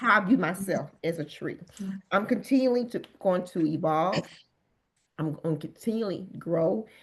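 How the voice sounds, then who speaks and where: Somewhat breathy, this woman's voice moves with lively intonation. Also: medium pitch for a woman, moderate pace. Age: 50s. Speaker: bodybuilder and wellness coach. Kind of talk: interview answer.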